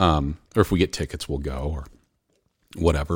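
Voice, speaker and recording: Over a silent background in a very clean recording, a man with a very deep, low voice and vocal fry talks very fast with ordinary pitch variation. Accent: American. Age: 40s. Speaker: college baseball coach. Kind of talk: casual chat.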